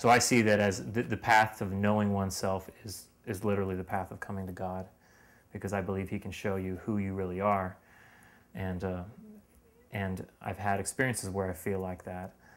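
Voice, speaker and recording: With an American accent, a man talks at a moderate pace in a fairly low pitch and a monotone, flat intonation. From Lancaster, Pennsylvania, US; Pennsylvania. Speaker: university student; interviewee. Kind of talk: interview. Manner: halting, with frequent repetitions and fillers. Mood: reflective, earnest. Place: home room. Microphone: headset.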